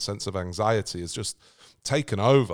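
On a very clean recording with a silent background, a man with a British accent speaks at a moderate pace. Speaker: podcast host and author. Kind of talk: casual interview chat. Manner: conversational, hesitant with fillers.

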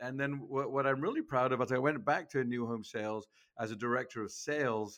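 Against a quiet background, a man with an English accent speaks at a medium pitch with ordinary pitch variation. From England. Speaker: sales trainer. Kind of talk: interview. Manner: animated.

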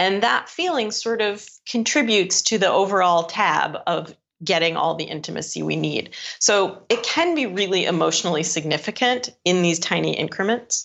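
This woman's voice carries vocal fry. Her pitch varies in an ordinary way. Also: medium pitch for a woman, moderate pace. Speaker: author and speaker. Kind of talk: casual interview chat.

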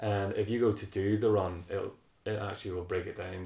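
A man's very deep, low voice, somewhat breathy, at a fairly quick pace with flat, monotone intonation. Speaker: running podcast host. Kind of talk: casual interview chat.

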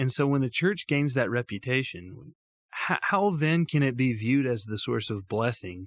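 At a moderate pace and medium pitch, a man with an Alabama accent swings his pitch very widely, recorded dry and close with no echo. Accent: Southern US (Alabama). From US South (Tuscaloosa, Alabama). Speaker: mission organization president. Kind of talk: interview conversation. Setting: studio.

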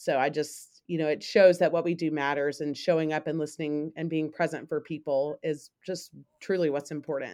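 In a very deep, low voice, a woman talks at a moderate pace with an American accent and hardly any pauses. Her tone is dark and mellow, and her intonation is flat and monotone. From US South, Memphis, Tennessee. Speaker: school counselor. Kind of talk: casual chat.

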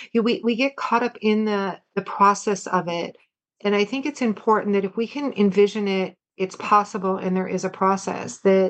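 A woman's normal speaking voice at a fairly quick pace, her intonation fairly even. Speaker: guest. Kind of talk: casual chat.

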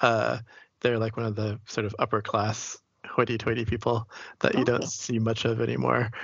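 A man's monotone, flat delivery in an American accent, with vocal fry. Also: medium pitch for a man, fairly quick pace. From Boston, US. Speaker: poet and writer. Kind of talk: interview.

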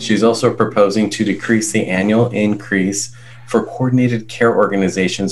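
At a moderate pace and with fairly even intonation, a man talks in a normal speaking voice. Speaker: podcast co-host. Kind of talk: podcast hosting.

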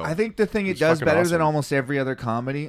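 The speaker is a man. His intonation is lively. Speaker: podcast host. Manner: casual, conversational.

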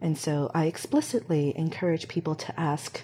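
A woman with an American accent speaks at a fairly low pitch amid noticeable background noise. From Hong Kong then US from age six. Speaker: community director. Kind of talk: casual interview chat.

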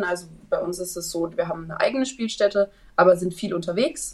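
A woman speaks at a fairly quick pace in a normal speaking voice of medium pitch. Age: 20s. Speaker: trainee event manager. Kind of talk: interview.

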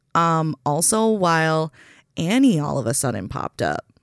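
In a very clean recording with a silent background and a dry, close sound with no echo, a woman with an American accent speaks at a moderate pace in a very deep, low pitch. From Minnesota. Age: 30s. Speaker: bartender and drag show organizer. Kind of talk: casual chat.

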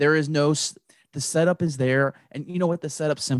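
A man with a plain, everyday voice speaks at a fairly high pitch with fairly even intonation, in a dry, close sound with no echo and a quiet background. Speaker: co-host friend. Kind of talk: casual chat.

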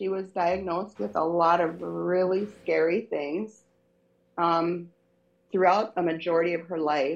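At a fairly slow pace, a woman with a plain, everyday voice speaks at a fairly low pitch with ordinary pitch variation. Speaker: guest. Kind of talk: casual chat.

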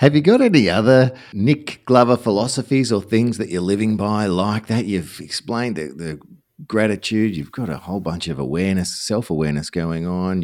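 Speaking with an Australian accent, a man with a fairly low pitch uses lively intonation at a moderate pace. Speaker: podcast host, former radio broadcaster. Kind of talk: interview conversation. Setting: remote video call.

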